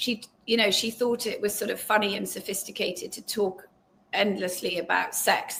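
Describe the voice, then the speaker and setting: A woman with an English accent at a moderate pace. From England. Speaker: journalist and author. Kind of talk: interview. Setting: live video stream.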